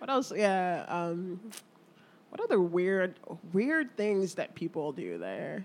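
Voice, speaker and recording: A woman with an American accent speaks very slowly in a medium-pitched voice with ordinary pitch variation, taking long, frequent pauses. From New Jersey. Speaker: comedian. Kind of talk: casual chat.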